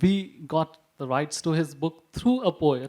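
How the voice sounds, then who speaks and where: This man's voice sits fairly high, with ordinary pitch variation and a fairly slow pace, on a very clean recording with a silent background. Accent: Indian. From India, Maharashtra. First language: Punjabi. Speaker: publisher. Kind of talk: panel presentation. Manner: halting.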